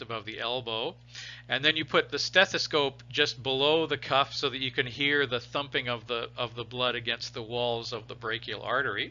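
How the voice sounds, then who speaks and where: Speaking in an unremarkable speaking voice, a man keeps a moderate pace and a fairly even intonation. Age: 60s. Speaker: biology teacher. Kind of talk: lecture. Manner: casual, with many restarts.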